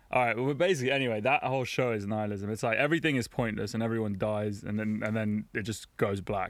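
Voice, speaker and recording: With a London accent, a man speaks very fast at a fairly low pitch and with fairly even intonation, on a very clean recording with a silent background. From London, England. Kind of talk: casual chat.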